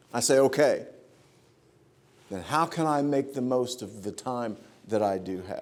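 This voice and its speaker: A man is speaking. His pace is fairly slow. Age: 50s. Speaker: preacher. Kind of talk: sermon. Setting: church.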